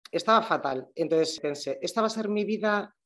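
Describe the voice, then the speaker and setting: A woman talks at a moderate speed over a quiet background. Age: 40s. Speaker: shop owner. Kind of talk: casual interview chat.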